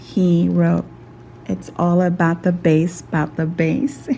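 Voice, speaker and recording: A soft-spoken voice talks at a very slow pace. Noticeable background noise is present. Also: woman. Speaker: skin care practitioner. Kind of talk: narrated skin treatment.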